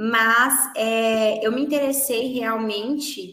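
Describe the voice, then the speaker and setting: With ordinary pitch variation, a woman speaks at a fairly high pitch in an unremarkable speaking voice. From Brazil, Minas Gerais. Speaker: English teacher. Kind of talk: interview.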